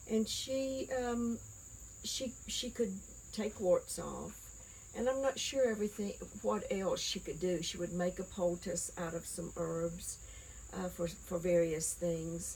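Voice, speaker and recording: A woman in a Southern Appalachian accent at a very slow pace. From Appalachia, US (Nolichucky River, East Tennessee). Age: 60s. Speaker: herb knowledge interviewee. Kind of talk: oral history interview. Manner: halting, many fillers.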